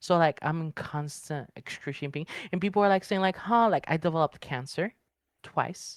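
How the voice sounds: A woman's low-pitched voice at a moderate pace, with ordinary pitch variation, in a dry, close sound with no echo.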